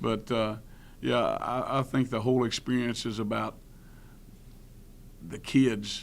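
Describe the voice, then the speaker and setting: In a Tennessee accent, a man speaks at a medium pitch, with audible room echo. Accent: Southern US (Tennessee). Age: 60s. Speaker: college football coach. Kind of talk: press conference.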